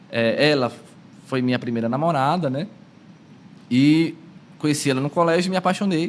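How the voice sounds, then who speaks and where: Long, frequent pauses with ordinary pitch variation. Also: man, fairly high pitch for a man, moderate pace. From São Paulo, in a northeastern (Ceará) family and neighbourhood. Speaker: prayer group leader and lay preacher. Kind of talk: podcast interview, personal faith testimony.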